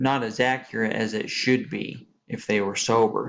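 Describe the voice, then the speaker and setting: A man's monotone, flat delivery at medium pitch and a fairly slow pace, over a quiet background. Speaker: student presenter. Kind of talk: class presentation. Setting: screen-recorded slide presentation. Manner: hesitant with fillers.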